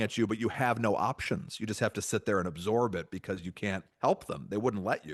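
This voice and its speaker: The voice has lively intonation and an animated tone at a very fast pace. The background is quiet. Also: man. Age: 40s. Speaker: comedy writer and guest. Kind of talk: casual chat.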